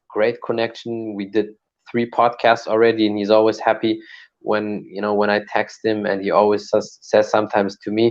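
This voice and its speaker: With a German accent, a man speaks at a moderate pace in a flat, monotone intonation. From Germany. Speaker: martial artist and podcaster. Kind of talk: casual chat.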